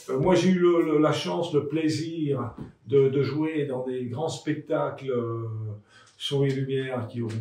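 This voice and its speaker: Audible room echo and noticeable background noise surround a man whose voice is fairly high, with ordinary pitch variation. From France, Le Creusot (Burgundy). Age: 70s. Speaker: local resident and former elected official. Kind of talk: interview testimony. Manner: halting, many hesitations and repeated words.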